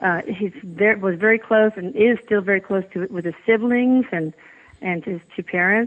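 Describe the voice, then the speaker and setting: A woman speaks in an American accent at a moderate pace. Her pitch is medium, with ordinary variation. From Texas. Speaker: physician and author, bereaved mother. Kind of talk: interview.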